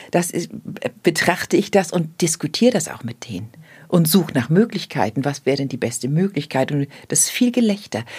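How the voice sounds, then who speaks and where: Over a very clean recording with a silent background, a woman with a fairly low pitch speaks at a fairly quick pace, her somewhat breathy voice making very wide pitch swings. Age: 60s. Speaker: death doula. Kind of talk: casual chat.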